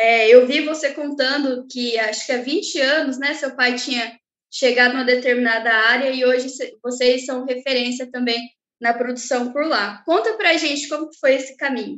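A woman's high-pitched voice moves with fairly even intonation. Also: moderate pace. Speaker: podcast co-host. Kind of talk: interview.

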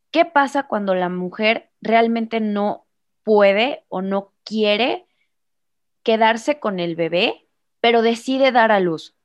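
A fairly high-pitched woman talks at a very slow pace. Her loudness swings a lot against a quiet background. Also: ordinary pitch variation. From Mexico, Irapuato, Guanajuato (Bajío). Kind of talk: casual interview.

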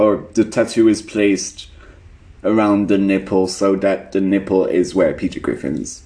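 This man talks at a fairly slow pace, his fairly low voice carrying a dark, mellow tone. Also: fairly even intonation. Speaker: podcast co-host. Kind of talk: casual chat.

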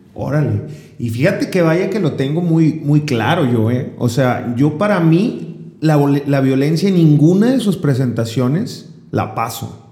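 Noticeable background noise sits behind a man speaking at a fairly slow pace. His fairly high voice has lively intonation. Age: 20s. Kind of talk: casual chat.

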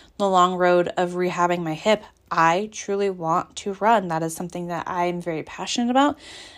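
A woman with an ordinary speaking voice talks at a fairly low pitch and moderate pace, keeping fairly even intonation. The recording is very clean, with a silent background. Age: 30s. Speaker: fitness coach and podcast host. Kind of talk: solo podcast monologue. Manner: casual, filler-heavy.

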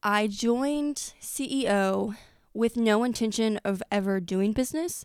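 At a very slow pace, a woman with a fairly high pitch speaks in a very clean recording with a silent background. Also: very even loudness. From US Midwest, Effingham. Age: 20s. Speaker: small business founder. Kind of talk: casual interview. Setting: studio.

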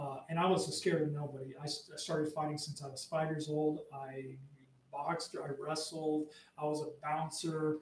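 With an American accent, a man speaks at a moderate pace. His fairly high pitch stays monotone and flat. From US Southwest, Arizona border. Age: 50s. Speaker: combatives instructor. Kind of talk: casual interview.

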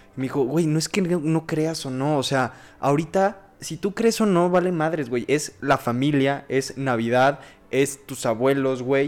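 A man speaks at a moderate pace with a Mexican accent. His pitch is fairly high, with ordinary variation. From Mexico. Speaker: podcast co-host. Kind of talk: casual chat.

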